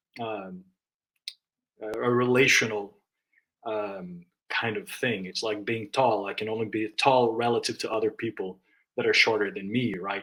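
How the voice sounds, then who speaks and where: At a moderate pace and with long, frequent pauses, a man with a non-native accent speaks at medium pitch in a bright, sharp tone with fairly even intonation. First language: not English. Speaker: book discussion guest. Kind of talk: casual discussion. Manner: halting, many fillers and restarts.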